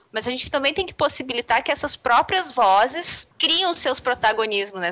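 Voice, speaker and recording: Raised and projected, a woman's high-pitched voice carries a bright, sharp tone, lively intonation and a moderate pace. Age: 30s. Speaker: games and literature scholar. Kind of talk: casual panel discussion.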